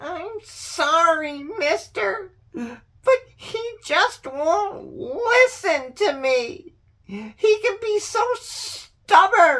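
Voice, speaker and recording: Extremely high and delivered very slowly, this put-on character voice swings very widely in pitch. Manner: defensive, pleading.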